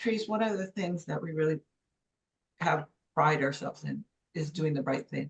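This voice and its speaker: A woman's very deep, low voice with vocal fry, a moderate pace and long, frequent pauses. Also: ordinary pitch variation. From Los Angeles, Mexican-born. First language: Spanish. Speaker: former journalism professor and business consultant. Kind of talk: interview.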